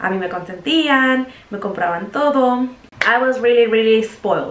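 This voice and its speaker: In a Mexican accent, a woman talks at a moderate pace with a fairly high pitch and lively intonation. Audible room echo and noticeable background noise surround her voice. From Mexico, Jalisco. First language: Spanish. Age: 20s. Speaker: vlogger. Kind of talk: casual chat.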